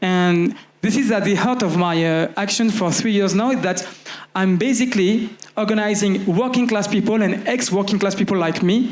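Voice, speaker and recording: Over noticeable background noise and audible room echo, a man with a French accent speaks at a high pitch with very even loudness and fairly even intonation. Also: moderate pace. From France, Paris. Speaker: activist and network organizer. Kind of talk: panel discussion. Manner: halting, many fillers.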